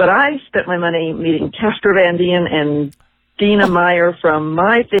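A woman speaks at a fairly slow pace and a fairly low pitch, with ordinary pitch variation, very even loudness and an unremarkable speaking voice. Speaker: listener caller. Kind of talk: casual voicemail report. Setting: phone call.

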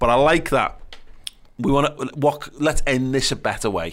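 This man speaks with a Liverpool accent at a moderate pace. His pitch is medium, with ordinary variation. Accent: Scouse. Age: 30s. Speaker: podcast host. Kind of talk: casual chat.

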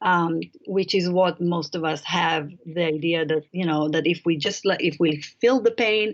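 In an Israeli accent, a woman speaks at a fairly low pitch with ordinary pitch variation. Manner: halting, with frequent fillers.

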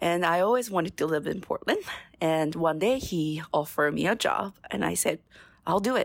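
A woman with a Japanese accent, fairly low pitch and lively intonation at a moderate pace, on a very clean recording with a silent background. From Japan, Ibaraki Prefecture. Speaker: sake sales and marketing manager. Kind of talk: casual chat.

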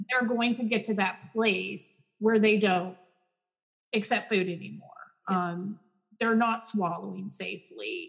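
At a fairly slow pace with long, frequent pauses, a woman with an American accent talks in a somewhat breathy, fairly high voice with ordinary pitch variation. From Texas, Garland. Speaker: speech-language pathologist. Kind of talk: casual interview.

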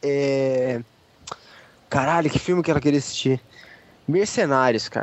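A man talks over noticeable background noise. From São Paulo, Brazil. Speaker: podcast co-host. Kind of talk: casual chat.

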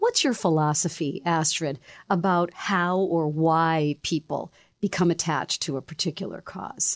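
An unremarkable speaking voice from a woman, fairly low in pitch, moderate in pace and fairly even in intonation, in a dry, close sound with no echo and a very clean recording with a silent background. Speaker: broadcaster and podcast host. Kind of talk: interview.

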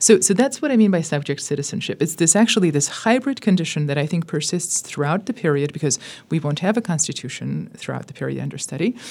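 A very fast-talking woman with an American accent and a fairly low voice, amid noticeable background noise. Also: lively intonation. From US, Southern California (Armenian community). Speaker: professor of Russian literature. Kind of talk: interview.

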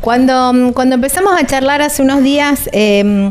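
A woman speaks at a high pitch with ordinary pitch variation. Noticeable background noise runs under her voice. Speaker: radio travel show host. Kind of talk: casual interview. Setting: recording on the road.

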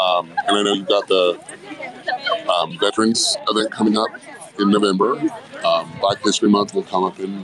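Crowd noise sits in the background while the speaker talks at a moderate pace. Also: man. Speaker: podcast host. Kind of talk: casual interview chat. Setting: live event outdoors.

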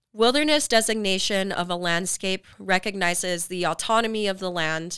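Moving at a moderate pace, a woman with a Western US accent has medium pitch, ordinary pitch variation and a bright, sharp tone. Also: very clean recording, silent background. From Utah, Salt Lake area. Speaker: podcast host. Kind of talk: scripted narration.

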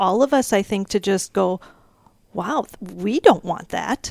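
A woman with a plain, everyday voice speaks at a moderate pace and fairly high pitch, with ordinary pitch variation and a dry, close sound with no echo. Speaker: personal banker. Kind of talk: casual chat.

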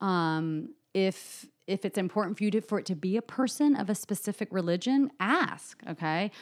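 Using a plain, everyday voice, a woman speaks at a moderate pace in an American accent, her medium pitch carried by lively intonation. The recording is very clean, with a silent background. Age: 30s. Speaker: psychotherapist. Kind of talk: interview.

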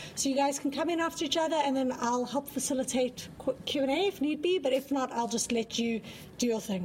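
A woman's high voice at a fairly quick pace, with ordinary pitch variation, very even loudness and noticeable background noise. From South Africa. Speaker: panel moderator. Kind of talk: academic panel discussion.

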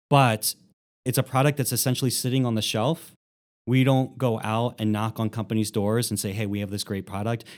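In a very clean recording with a silent background, a man with an American accent and an unremarkable speaking voice talks fairly quickly at a medium pitch, with fairly even intonation. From Philadelphia, US. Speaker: nonprofit executive director. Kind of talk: interview conversation.

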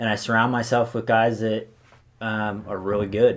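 A man speaks with an American accent. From California, Sonoma County. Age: 20s. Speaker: hunter. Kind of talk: casual chat.

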